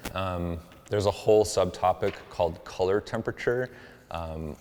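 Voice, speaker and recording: Soft-spoken, a man talks at a very deep, low pitch with fairly even intonation. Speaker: photographer. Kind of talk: tutorial. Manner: casual with fillers.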